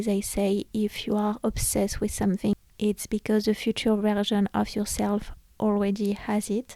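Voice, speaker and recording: A woman with a non-native accent speaks at medium pitch and a moderate pace, her tone dark and mellow, her intonation monotone and flat, her loudness very even, and the sound dry and close with no echo. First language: not English. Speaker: podcast host. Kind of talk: casual solo podcast talk. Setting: home recording, room lit by red lamp.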